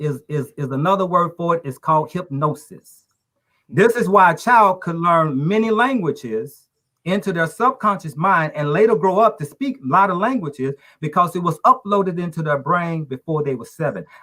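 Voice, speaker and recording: Speaking at a moderate pace, a man with a high-pitched voice uses lively intonation. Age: 60s. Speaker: talk show panelist. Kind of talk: casual discussion.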